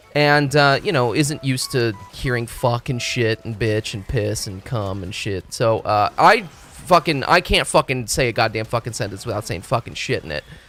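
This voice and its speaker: Music plays in the background while a man talks at a moderate pace. His pitch is medium and his intonation lively. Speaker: video game streamer. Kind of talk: casual live stream chat. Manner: loud; animated, halting.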